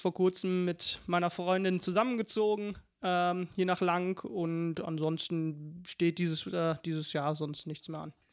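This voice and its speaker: At a very slow pace, a man with a high pitch speaks in fairly even intonation on a very clean recording with a silent background. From Lower Rhine, Germany (Meerbusch-Lank area). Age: 30s. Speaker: shooting club member. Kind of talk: casual interview.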